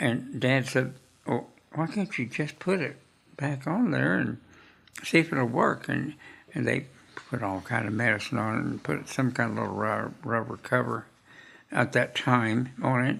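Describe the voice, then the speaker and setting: A man speaks at a fairly slow pace in an American accent, with vocal fry. His pauses are long and frequent. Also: medium pitch for a man, ordinary pitch variation. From Oklahoma. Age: 80s+. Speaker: retired optometrist and WWII veteran. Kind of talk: oral history interview answer.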